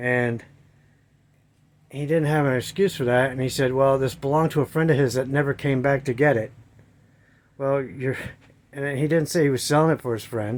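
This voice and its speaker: The recording is very clean, with a silent background. A man talks at a moderate pace with fairly even intonation and long, frequent pauses. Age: 60s. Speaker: camper owner vlogger. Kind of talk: casual walkthrough vlog. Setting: inside a camper trailer. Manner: casual, rambling with fillers.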